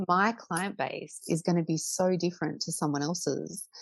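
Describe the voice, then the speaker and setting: Over a quiet background, a woman with an Australian accent talks fairly slowly in a fairly low pitch with fairly even intonation. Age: 30s. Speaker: portrait photographer. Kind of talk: interview. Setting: podcast recording.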